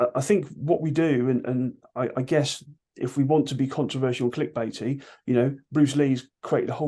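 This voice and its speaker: A man with a British accent speaks at a fairly quick pace in a dark, mellow tone. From UK. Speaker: martial arts instructor. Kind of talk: interview. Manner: loud; animated.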